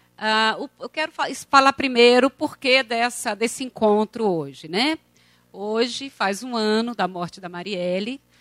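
Over music in the background, a woman speaks with lively intonation in a dry, close sound with no echo. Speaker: university lecturer. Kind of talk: event introduction. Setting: auditorium with audience.

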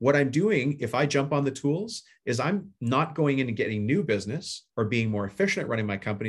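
Against a quiet background, a man talks at a fairly quick pace with lively intonation and a somewhat breathy sound. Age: 50s. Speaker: home service business coach and contractor. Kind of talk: casual interview. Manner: plain everyday talk.

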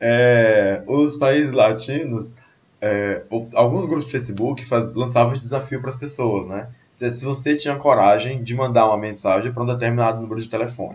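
A somewhat breathy man at medium pitch, with fairly even intonation, a moderate pace and audible room echo. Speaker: podcast host. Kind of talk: casual chat. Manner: soft-spoken.

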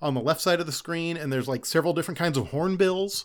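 Recorded very cleanly with a silent background, a man talks at a fairly quick pace in a high pitch with ordinary pitch variation. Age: 30s. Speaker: podcast guest. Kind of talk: casual chat.

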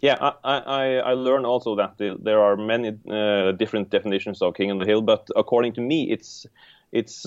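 This man speaks at a medium pitch with a Norwegian accent. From Norway. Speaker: board game designer. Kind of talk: casual interview chat.

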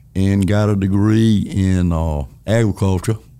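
With a Southern US accent and a dark, mellow tone, a man at a fairly low pitch speaks at a very slow pace with ordinary pitch variation. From North Carolina. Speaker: retiring finance executive. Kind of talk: interview conversation. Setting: studio.

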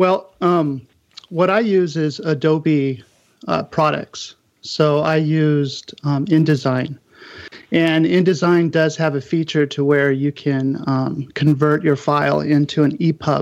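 With fairly even intonation, a man speaks very slowly in a fairly high pitch. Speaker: book designer. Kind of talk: panel discussion.

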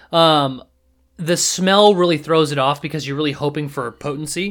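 A man with a West Coast US accent, fairly high pitch and lively intonation, on a very clean recording with a silent background. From Seattle, US Pacific Northwest. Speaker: podcast guest. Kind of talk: casual chat.

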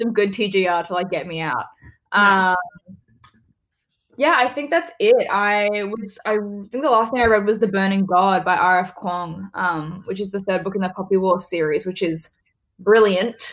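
A woman with an Australian accent speaks at a fairly slow pace and a medium pitch, with ordinary pitch variation. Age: 20s. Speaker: actress. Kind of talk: casual interview.

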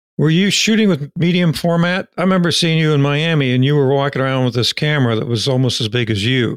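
The voice moves at a very fast pace with hardly any pauses, ordinary pitch variation, and very even loudness. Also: man, fairly high pitch for a man. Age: old. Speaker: podcast host. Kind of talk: interview. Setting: video call.

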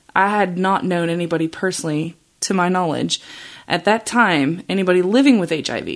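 Speaking with an American accent, a woman uses a plain, everyday voice at a fairly low pitch with ordinary pitch variation and a moderate pace, on a very clean recording with a silent background. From Australia, then Chicago suburbs from age 15. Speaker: nurse practitioner and podcast host. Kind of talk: solo podcast monologue. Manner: casual with frequent fillers.

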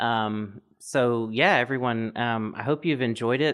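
A man speaks at a fairly slow pace. He has an ordinary speaking voice. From US South. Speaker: podcast host. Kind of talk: scripted outro; interview conversation.

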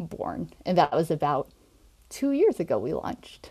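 An American accent on a very clean recording with a silent background. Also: woman. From Nebraska, US Midwest. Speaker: occupational therapist and online community founder. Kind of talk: interview.

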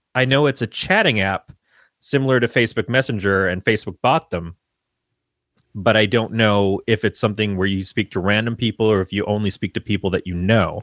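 An unremarkable speaking voice moves at a fairly quick pace with ordinary pitch variation. The sound is dry and close with no echo, and the recording is very clean over a silent background. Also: man, fairly low pitch for a man. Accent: American. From Michigan. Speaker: podcast guest co-host. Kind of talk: casual chat.

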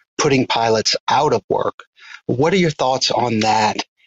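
An ordinary speaking voice from a man with an American accent, moderate pace and ordinary pitch variation. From US South, southeast Louisiana. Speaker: caller, GIS professional and hobby drone pilot. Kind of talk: recorded listener question.

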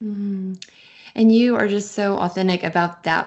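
Speaking with an American accent, a woman holds a medium pitch. Her intonation is monotone and flat. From US Midwest, Kansas City. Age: 40s. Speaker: podcast host. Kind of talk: interview conversation.

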